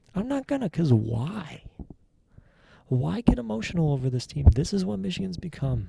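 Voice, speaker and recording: Soft-spoken and somewhat breathy, a man talks at a moderate pace with a dark, mellow tone. His medium-pitched voice swings very widely in pitch. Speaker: sports fan vlogger. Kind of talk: casual solo reaction monologue. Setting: home basement. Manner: halting.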